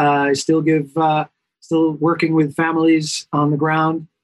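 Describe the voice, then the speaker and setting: This man has a New York accent. His pitch sits fairly high. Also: dry, close sound with no echo. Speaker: pediatrician. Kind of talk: interview.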